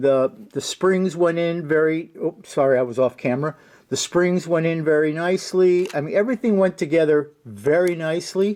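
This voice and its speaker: A man speaks at a high pitch and a moderate pace. His pitch variation is ordinary. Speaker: scale model builder. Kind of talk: hobby tutorial / build update. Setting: home basement workshop. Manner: halting, many fillers and repeats; casual, conversational.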